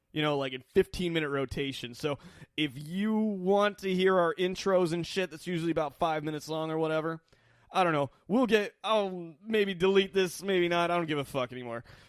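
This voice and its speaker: At a fairly quick pace, a man talks in a high pitch with ordinary pitch variation, recorded very cleanly against a silent background. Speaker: podcast host. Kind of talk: casual chat.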